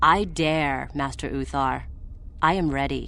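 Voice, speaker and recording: Over clear background noise, someone uses a put-on character voice at a fairly slow pace. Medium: video game.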